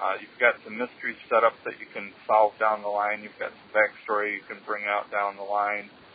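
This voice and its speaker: Over noticeable background noise, a man with an American accent talks at a moderate pace with hardly any pauses, his fairly low voice monotone and flat while his loudness swings widely. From US Midwest, Wisconsin. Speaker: listener caller. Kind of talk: voicemail. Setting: phone call.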